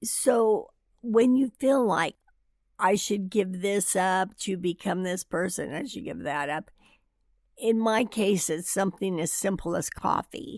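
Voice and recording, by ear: A woman does a raspy, put-on character voice at medium pitch, with lively intonation and a fairly slow pace. The sound is dry and close with no echo, on a very clean recording with a silent background.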